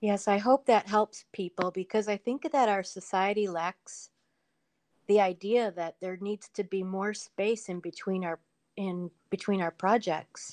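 Against a quiet background, a woman with a plain, everyday voice speaks fairly slowly at a medium pitch with fairly even intonation. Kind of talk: casual chat. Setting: video call.

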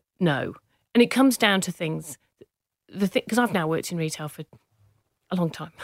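On a very clean, dry recording with a close sound, no echo and a silent background, a woman with an English accent speaks at a fairly low pitch and a moderate pace. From northern England, Manchester/Cheshire. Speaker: business founder. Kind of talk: interview.

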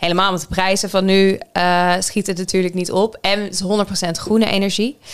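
The woman's delivery is monotone and flat. She talks neither fast nor slow. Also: medium pitch for a woman. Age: 30s. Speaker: podcast co-host. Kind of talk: casual chat.

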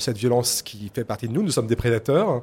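On a very clean recording with a silent background, a man speaks in a dark, mellow tone that is somewhat breathy. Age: 40s. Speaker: novelist. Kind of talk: interview. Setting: live radio set at a book fair.

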